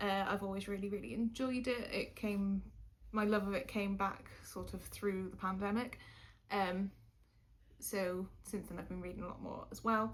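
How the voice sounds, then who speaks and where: Somewhat breathy, a woman with a slight Welsh accent speaks at a moderate pace with fairly even intonation, and audible room echo surrounds her. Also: medium pitch for a woman. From Wales. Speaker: YouTuber. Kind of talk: casual chat. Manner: hesitant, many fillers.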